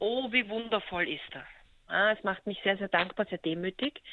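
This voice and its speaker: A woman's unremarkable speaking voice, medium in pitch, at a fairly quick pace. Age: 40s. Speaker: photographer. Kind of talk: interview.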